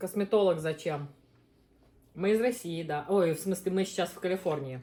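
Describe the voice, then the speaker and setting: A woman's fairly low-pitched voice with ordinary pitch variation and a dark, mellow tone. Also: moderate pace. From Uzbekistan. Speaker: mukbang host, mother. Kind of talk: casual chat while eating on a live stream.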